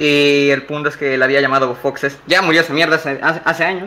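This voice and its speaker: In a bright, sharp tone, a man with a fairly high pitch talks at a fairly quick pace with fairly even intonation. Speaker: former show member. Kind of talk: casual chat.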